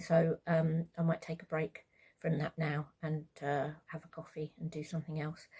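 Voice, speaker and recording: A woman with a British accent speaks in a fairly low, somewhat breathy voice. Her tone is dark and mellow, and her intonation stays flat and monotone. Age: 60s. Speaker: vlogger, carer of brain-injured partner. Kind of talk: casual vlog monologue. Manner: hesitant, many fillers.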